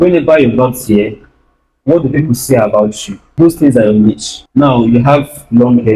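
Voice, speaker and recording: A man's medium-pitched, somewhat breathy voice with a dark, mellow tone, moderate pace and ordinary pitch variation. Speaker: videographer and video editor. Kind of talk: guest talk at youth church. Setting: church stage with audience.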